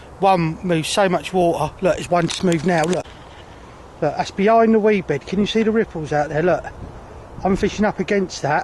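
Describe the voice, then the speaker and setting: Noticeable background noise sits under a man's high voice with ordinary pitch variation. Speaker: carp angler vlogger. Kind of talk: casual vlog. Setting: outdoors by a lake. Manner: loud, shouting over storm; excited, rapid.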